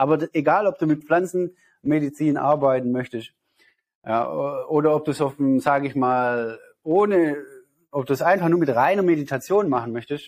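This man has an ordinary speaking voice, pitched fairly high, with ordinary pitch variation. He talks at a moderate pace over a quiet background. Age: 30s. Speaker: spiritual healer and meditation teacher. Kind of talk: interview.

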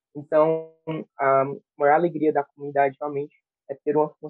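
Music plays in the background as a man talks at a very fast pace. His pitch is fairly high. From Brazil, Piauí. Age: 20s. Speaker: church music ministry coordinator. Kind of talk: casual chat.

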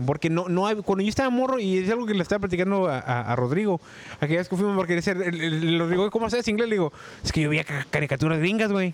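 Over noticeable background noise, a man talks at a very fast pace in a high pitch, keeping his loudness very even. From Tijuana, Mexico. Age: 40s. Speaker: former call center worker. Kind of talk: casual chat.

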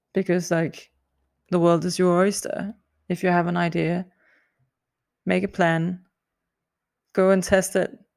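A woman with a fairly low pitch speaks fairly slowly with a non-native accent, in a flat monotone. She takes long, frequent pauses, and the recording is very clean with a silent background. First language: not English. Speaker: podcast host, singer. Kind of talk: solo podcast monologue. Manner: hesitant, many fillers and laughs.

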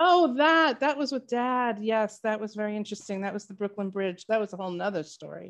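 A woman with an unremarkable speaking voice talks fairly quickly at a fairly high pitch, barely pausing, as her loudness swings widely. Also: lively intonation. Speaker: author and co-host. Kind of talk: casual chat.

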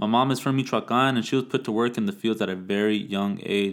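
This man has an American accent and a medium pitch. He talks fairly quickly in a flat monotone. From Plant City, Florida. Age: 20s. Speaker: podcast host, barber. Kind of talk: casual monologue.

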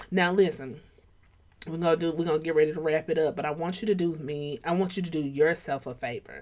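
With an Atlanta accent, a woman speaks in an animated, energetic tone at a fairly low pitch. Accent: Southern US, Atlanta urban. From Atlanta, US South. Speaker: podcast host, believer. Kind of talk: casual chat, motivational faith talk. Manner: animated, casual, energetic.

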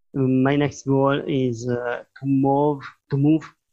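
With a non-native accent, a man speaks at a medium pitch in a monotone, flat intonation. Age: 40s. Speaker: digital artist. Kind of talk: interview. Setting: live online stream. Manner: halting.

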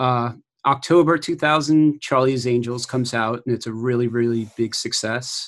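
This man talks at a moderate pace in an ordinary speaking voice, pitched in the middle range with fairly even intonation. The background is quiet. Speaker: podcast co-host. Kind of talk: casual chat.

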